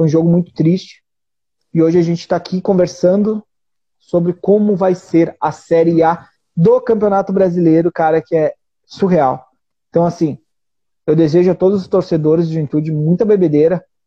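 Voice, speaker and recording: A man with a high-pitched voice talks at a moderate pace, his intonation fairly even and his loudness very even, with long, frequent pauses. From Brazil, Rio Grande do Sul. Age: 20s. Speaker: football fan livestream host. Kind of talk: casual chat. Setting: live video stream from home.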